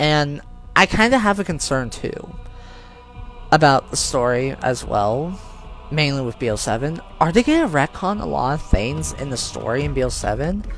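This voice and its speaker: A man talks at a moderate pace. Background music accompanies him. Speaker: gaming YouTuber. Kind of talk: commentary video, opinion monologue. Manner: slight stutter, halting. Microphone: poor audio.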